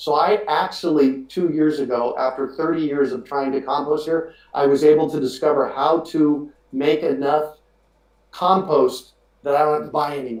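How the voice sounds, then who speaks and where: Speaking with an American accent, a man has an unremarkable speaking voice, a fairly high pitch, fairly even intonation and a moderate pace. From US Southwest, Phoenix, Arizona. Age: 50s. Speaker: urban farmer and podcast host. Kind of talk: webinar interview. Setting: live webinar video call.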